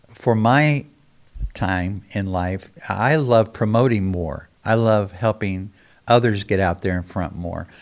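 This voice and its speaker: A man at a very slow pace on a very clean recording with a silent background. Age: 70s. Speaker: pastor. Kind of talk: casual chat.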